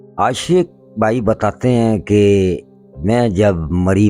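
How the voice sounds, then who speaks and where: A man at medium pitch talks while music plays behind him. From Pakistan. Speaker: paranormal investigator. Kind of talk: horror story narration.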